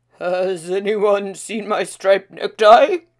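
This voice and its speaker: A woman's put-on character voice at a medium pitch, at a fairly slow pace. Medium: read story.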